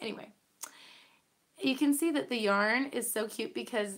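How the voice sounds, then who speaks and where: Woman with vocal fry, speaking at a moderate pace. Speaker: podcast host. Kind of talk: casual chat. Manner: hesitant with fillers.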